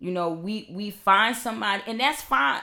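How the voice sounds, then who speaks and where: A woman's medium-pitched voice, bright and sharp in tone and animated, on a very clean recording with a silent background. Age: 40s. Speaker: podcast guest. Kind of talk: casual chat.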